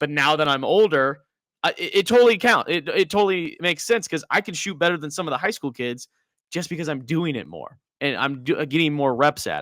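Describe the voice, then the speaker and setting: A man with an unremarkable speaking voice talks at a fairly quick pace, his fairly high pitch moving in lively intonation amid big swings in loudness. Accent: American. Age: 30s. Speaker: podcast host and soccer coach. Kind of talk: casual interview.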